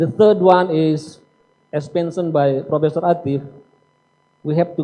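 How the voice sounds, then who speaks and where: Intonation stays fairly even while the delivery unfolds at a fairly slow pace. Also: man. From Indonesia. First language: Indonesian. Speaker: seminar speaker. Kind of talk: lecture. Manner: formal.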